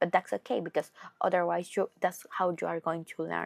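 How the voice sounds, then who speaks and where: A woman with a Spanish accent, speaking at a moderate pace. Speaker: podcast host. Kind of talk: casual monologue. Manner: halting.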